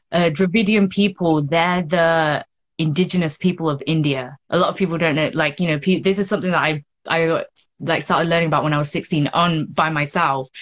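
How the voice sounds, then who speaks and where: A woman with a London accent talks at a fairly quick pace in a fairly low pitch. Her loudness stays very even. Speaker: model and activist. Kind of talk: interview conversation. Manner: animated.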